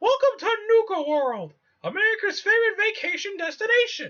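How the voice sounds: Someone uses a put-on character voice that is squeaky. Its pitch is extremely high, and the pace is moderate.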